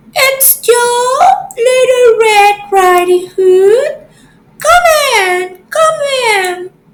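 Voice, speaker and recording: In a put-on character voice, a woman squeaks at an extremely high pitch, speaking very slowly with long, frequent pauses. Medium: read story. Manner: sly, coaxing.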